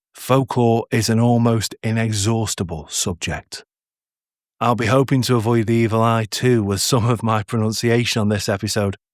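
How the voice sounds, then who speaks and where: The recording is very clean, with a silent background. A man with a northern English accent speaks with fairly even intonation. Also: medium pitch for a man, moderate pace, dry, close sound with no echo. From northern England. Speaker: podcast host and narrator. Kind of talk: podcast introduction.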